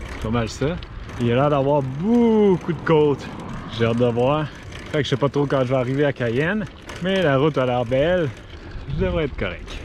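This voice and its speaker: With a Quebec accent and lively intonation, this voice moves at a moderate pace against noticeable background noise. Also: man. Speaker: cycle touring vlogger. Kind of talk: travel vlog. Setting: outdoors on a bike. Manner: casual.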